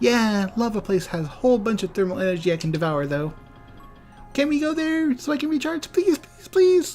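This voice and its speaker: In a put-on character voice, the speaker talks at a moderate pace with a fairly high pitch and very wide pitch swings, over faint music in the background. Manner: pleading, whiny.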